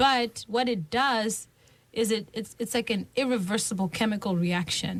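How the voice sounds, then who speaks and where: Speaking at a moderate pace, a woman with a fairly high, somewhat breathy voice uses ordinary pitch variation. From Zimbabwe. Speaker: musician and scholar. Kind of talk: radio interview. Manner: animated.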